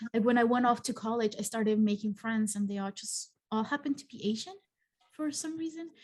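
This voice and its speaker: With a slight Mexican accent, a woman talks at a fairly quick pace in a fairly high pitch, her voice somewhat breathy, with ordinary pitch variation and big swings in loudness. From Mexico. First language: Spanish. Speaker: psychologist and channel host. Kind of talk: casual interview chat.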